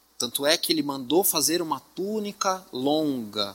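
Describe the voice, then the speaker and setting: A man with a fairly high pitch and a bright, sharp tone talks at a fairly slow pace, his pitch swinging very widely. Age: 30s. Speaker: assistant pastor preaching. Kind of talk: sermon. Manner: halting, repeats words.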